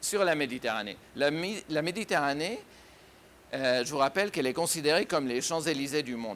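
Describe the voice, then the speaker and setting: Talking at a fairly quick pace with long, frequent pauses, a man uses a fairly high voice and lively intonation. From Syria. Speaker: writer and businessman. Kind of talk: interview answer.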